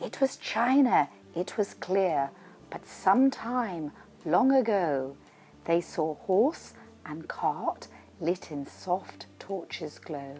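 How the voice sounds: A woman's fairly low, slightly mellow voice at a very slow pace with lively intonation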